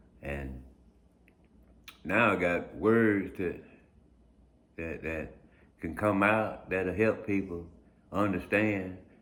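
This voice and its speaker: A man with a very deep, low voice speaks at a very slow pace, leaving long, frequent pauses, with audible room echo around him. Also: ordinary pitch variation. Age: 50s. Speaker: blind video blogger. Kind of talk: casual monologue. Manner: halting, repeats words.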